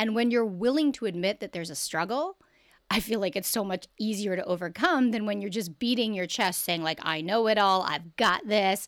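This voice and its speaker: A woman with a Canadian accent and a plain, everyday voice speaks at a fairly quick pace, with a medium pitch and ordinary pitch variation. The recording is very clean, with a silent background. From Canada. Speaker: sex and relationship educator. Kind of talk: casual interview chat.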